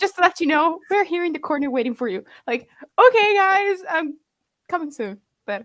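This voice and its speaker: Vocal fry with an Italian accent. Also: woman. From Italy. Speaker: language learning content creator. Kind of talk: casual chat. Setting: livestream. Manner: halting.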